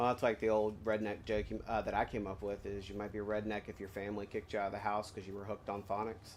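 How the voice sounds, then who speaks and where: The delivery comes at a very fast pace with hardly any pauses and a monotone, flat intonation. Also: man, fairly low pitch for a man. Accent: American. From US South. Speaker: gaming streamer. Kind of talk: casual gameplay chat. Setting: live stream.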